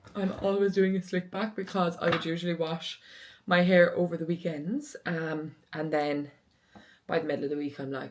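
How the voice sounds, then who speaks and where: A woman speaks with an Irish accent at a moderate pace. Her pitch varies in an ordinary way. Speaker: lifestyle vlogger. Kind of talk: casual vlog chat.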